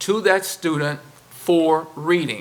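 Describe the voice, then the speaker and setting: In a fairly high pitch, a man talks at a very slow pace with ordinary pitch variation. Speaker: school district administrator. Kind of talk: school board meeting presentation. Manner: halting.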